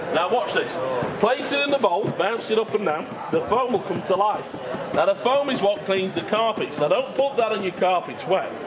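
Noticeable background noise runs beneath speech delivered at a moderate pace. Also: man. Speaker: product demonstrator. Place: hall.

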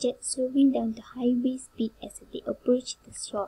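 Speaking at a high pitch, a woman comes across. Her tone is dark and mellow. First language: not English. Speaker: university student presenter. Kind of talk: class presentation. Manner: halting.

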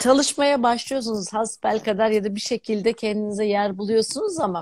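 A woman's fairly high voice with a dark, mellow tone and fairly even intonation, over a quiet background. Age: 50s. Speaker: academic, distance-education channel host; distance-education channel host. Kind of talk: live-stream interview. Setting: live video stream. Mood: warm, smiling. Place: home room. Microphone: video call.

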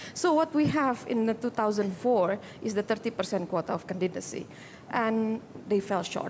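In an Indonesian accent, a woman speaks at a fairly slow pace with a fairly high pitch and ordinary pitch variation. Light background noise can be heard. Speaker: women's political participation advocate; panelist. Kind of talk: panel discussion. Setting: conference stage with audience. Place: stage. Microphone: headset.

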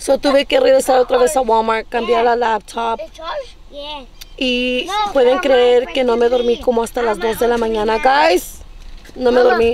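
Speaking at a fairly slow pace with long, frequent pauses, a woman keeps a high pitch and fairly even intonation. The sound is dry with no echo, though noticeable background noise is present. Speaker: vlogger. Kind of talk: casual vlog chat. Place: car. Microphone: phone near.

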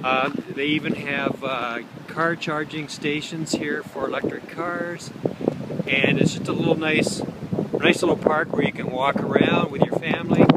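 A man speaks at a moderate pace while loud noise fills the background. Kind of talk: casual vlog chat. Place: garden. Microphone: phone near.

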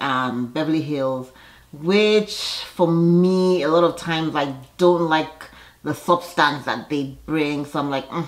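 A woman's very deep, low voice at a very slow pace. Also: ordinary pitch variation. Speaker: TV show reviewer. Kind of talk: casual vlog chat. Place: home room. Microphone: phone near.

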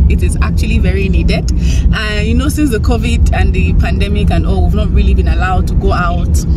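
Over music in the background, a woman talks at a fairly quick pace with ordinary pitch variation, the sound dry with no echo. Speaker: vlogger. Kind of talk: casual vlog chat. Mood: cheerful, relaxed. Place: car. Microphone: phone near.

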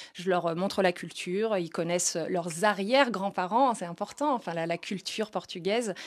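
Her pitch sits in the middle range, and the woman's variation in pitch is ordinary. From France, Portuguese immigrant family. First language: Portuguese (speaking French). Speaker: dietitian and TV/radio columnist; guest. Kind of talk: live-streamed talk show interview. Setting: live stream on Facebook and Instagram. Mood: warm, earnest. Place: home room. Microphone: handheld.

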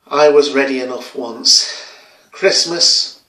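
The room echo is audible. Behind the voice, the background stays quiet. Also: man. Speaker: actor performing monologue. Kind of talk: dramatic monologue. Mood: weary, regretful. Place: home room. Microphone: phone near.

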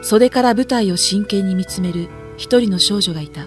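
Over music in the background, a woman with a medium pitch speaks at a fairly slow pace with ordinary pitch variation. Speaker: voice actor, stage actress. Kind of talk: TV documentary narration.

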